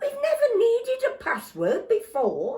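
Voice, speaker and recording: A put-on character voice with fairly even intonation at a moderate pace. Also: woman. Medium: read story. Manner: exasperated.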